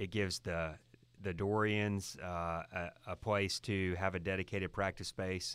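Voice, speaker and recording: In a very clean recording with a silent background, a man with a very deep, low pitch talks fairly slowly in a monotone, flat way. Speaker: high school principal. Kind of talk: interview conversation.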